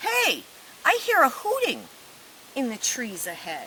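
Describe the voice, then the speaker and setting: Putting on a character voice, a woman talks at a fairly slow pace in an extremely high pitch, with clear background noise behind her. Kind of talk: children's story read-aloud. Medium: read story. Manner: big, boastful, hearty.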